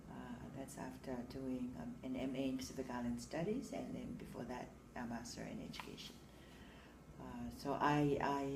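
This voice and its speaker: Room echo is audible as a woman speaks. Her pace is moderate. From Samoa. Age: 60s. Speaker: teacher. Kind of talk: interview. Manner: hesitant, many fillers.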